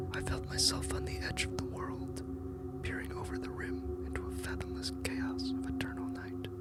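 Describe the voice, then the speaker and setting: Whispering proceeds at a moderate pace with music in the background. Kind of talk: whispered ASMR horror story reading. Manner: whispered.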